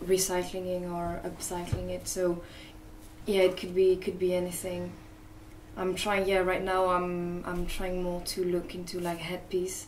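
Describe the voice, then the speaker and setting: With a French accent, a woman speaks at a medium pitch in a monotone, flat voice at a fairly slow pace, with noticeable background noise and audible room echo. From France, Paris. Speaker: artist and fashion designer. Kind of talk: interview. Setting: cafe. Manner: halting, many fillers.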